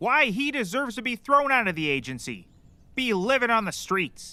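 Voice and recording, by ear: In a put-on character voice, a man speaks at an extremely high pitch. The tone is bright and sharp, with lively intonation. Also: moderate pace.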